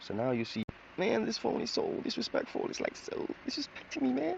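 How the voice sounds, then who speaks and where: A man speaks at a moderate pace with a Jamaican accent. Noticeable background noise runs behind him. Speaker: drawing tutorial creator. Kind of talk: tutorial. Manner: casual, chatty.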